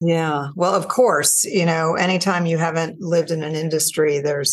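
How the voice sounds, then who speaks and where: At a moderate pace, a woman speaks in an ordinary speaking voice, fairly low in pitch, with fairly even intonation. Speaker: corporate CFO. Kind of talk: interview. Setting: video call.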